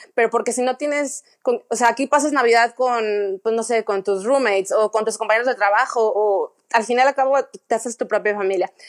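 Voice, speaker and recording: A woman with a Mexican accent speaks at a moderate pace with hardly any pauses, her fairly high voice holding a fairly even intonation in a dry, close recording with no echo. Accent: Mexican Spanish (Jalisco). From Mexico, Guadalajara. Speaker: art director, emigrant. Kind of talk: interview.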